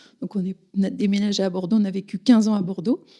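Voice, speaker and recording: Pitched in the medium range, this female voice has a dark, mellow tone. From Paris region (Yvelines). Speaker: village mayor. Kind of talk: interview. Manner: hesitant, many fillers.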